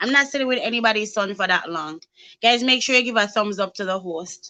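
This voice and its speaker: Her bright, sharp tone and lively intonation carry at a fairly high pitch as the woman talks at a moderate pace. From Jamaica. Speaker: YouTube live show host. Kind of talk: casual live-stream chat. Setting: YouTube live stream.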